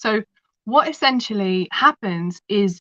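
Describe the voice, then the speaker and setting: In a London accent, a woman speaks at a medium pitch with a bright, sharp tone in a dry, close sound with no echo. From London, England. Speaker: kinesiologist and holistic practitioner. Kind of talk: interview storytelling.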